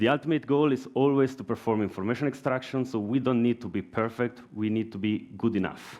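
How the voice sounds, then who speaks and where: Speaking at a moderate tempo, a man keeps his pitch varying in an ordinary way. Little can be heard behind him. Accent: Italian. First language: Italian. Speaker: software engineer. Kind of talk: conference talk. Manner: halting.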